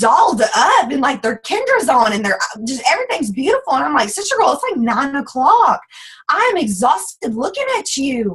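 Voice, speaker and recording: This woman has a strong Southern US accent and a high pitch. Her pitch swings very widely. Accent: thick Southern US. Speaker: network marketing team leader. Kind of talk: motivational team call talk. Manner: fast; animated.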